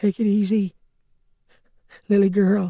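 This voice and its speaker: A put-on character voice, shaky and gravelly, at a middle pitch with monotone, flat intonation. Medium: read story. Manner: halting.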